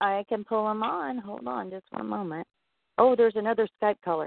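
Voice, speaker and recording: A woman with a plain, everyday voice talks at medium pitch and a moderate pace, her intonation lively. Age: 40s. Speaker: internet radio host. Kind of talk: casual chat. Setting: online call-in show via Skype.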